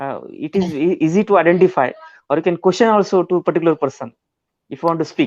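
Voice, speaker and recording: Talking at a very fast pace, a man with a Marathi accent and a high pitch is heard in a dry, close sound with no echo against a quiet background. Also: ordinary pitch variation. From India, Maharashtra. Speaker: school teacher. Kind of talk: casual group video chat. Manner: halting, many fillers.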